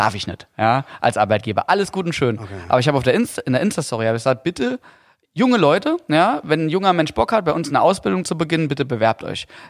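Speaking very fast with a slight Saarland accent, a man uses a fairly high pitch and very wide pitch swings, and the sound is dry and close with no echo. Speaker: podcast host and fishing tackle company owner. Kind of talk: casual chat.

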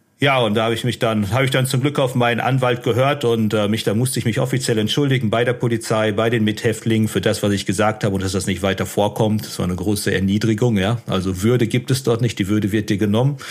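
Talking very fast with hardly any pauses, a man keeps a medium pitch and fairly even intonation over noticeable background noise. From Ruhr area, Germany (Unna/Dortmund). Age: 30s. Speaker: former prisoner and author. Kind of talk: interview testimony. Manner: calm, matter-of-fact.

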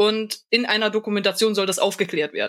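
A woman speaks with a fairly high pitch. Her pace is fairly quick. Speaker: podcaster. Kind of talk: casual chat. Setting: online call.

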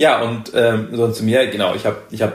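A man of medium pitch at a moderate pace, with noticeable background noise and audible room echo. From northern Germany. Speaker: podcast guest, cultural studies graduate. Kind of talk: casual conversation. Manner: hesitant, many fillers.

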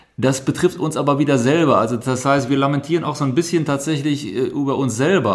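A man at a medium pitch speaks at a fairly quick pace over noticeable background noise. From Germany, Rhineland (Düsseldorf). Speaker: museum director. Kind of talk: interview. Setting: on location in a museum. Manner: hesitant, many fillers.

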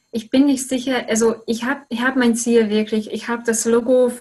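A somewhat breathy woman's voice in a Hungarian accent, moderate pace and monotone, flat intonation. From Hungary. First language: Hungarian (speaking German). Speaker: goal-setting coach. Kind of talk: interview. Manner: halting, many repetitions.

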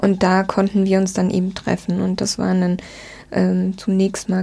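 A woman speaks in a medium pitch with a dark, mellow tone that is somewhat breathy. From southwestern Germany (Rhine-Neckar, near Speyer). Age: 40s. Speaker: publishing press officer. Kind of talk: interview conversation.

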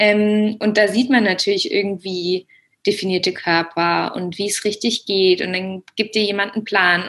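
Speaking at medium pitch, a woman has a plain, everyday voice. Her pace is fairly slow. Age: 20s. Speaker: German teacher and yoga teacher. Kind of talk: interview testimony.

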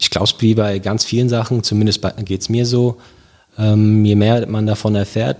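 A man's fairly low voice carries a fairly even intonation as he talks. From Germany, Wiesbaden (Hesse). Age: 30s. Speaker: police officer and local election candidate. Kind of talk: interview. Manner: hesitant, many filler sounds.

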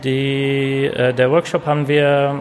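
A man speaks with an Arabic accent at a medium pitch. There is noticeable background noise. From Syria. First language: Arabic (speaking German). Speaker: former student, workshop teacher. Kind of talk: interview.

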